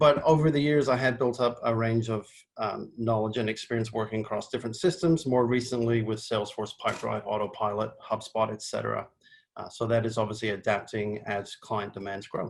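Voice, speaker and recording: Fairly quick, somewhat breathy male speech, medium in pitch, its intonation fairly even. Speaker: marketing agency head, webinar presenter. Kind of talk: webinar presentation. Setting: video call. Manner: casual with fillers.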